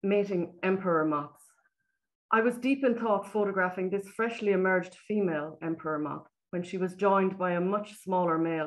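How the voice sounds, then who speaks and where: With an Irish accent, a woman speaks using ordinary pitch variation. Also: quiet background. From Ireland. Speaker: nature photographer. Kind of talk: presentation. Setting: video call. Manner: soothing. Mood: warm, admiring. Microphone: webcam.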